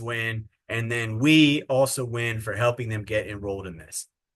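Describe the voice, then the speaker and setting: This man has an ordinary speaking voice with ordinary pitch variation. He talks at a moderate pace against a quiet background. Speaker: sales trainer. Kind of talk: training webinar.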